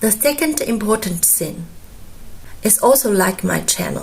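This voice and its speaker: Speaking at a very slow pace with a Chinese accent, a woman uses a fairly high pitch and lively intonation. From China. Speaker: Chinese language teacher. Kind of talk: tutorial.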